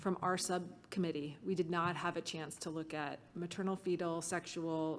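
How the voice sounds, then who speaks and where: A woman with a plain, everyday voice, fairly low in pitch, at a moderate pace, on a very clean recording with a silent background. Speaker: working group member. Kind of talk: committee meeting discussion.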